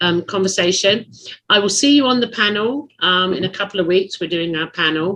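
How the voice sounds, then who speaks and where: Speaking at a fairly quick pace with an English accent, a woman uses a bright, sharp tone, a medium pitch and ordinary pitch variation. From England. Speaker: podcast host. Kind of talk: casual chat.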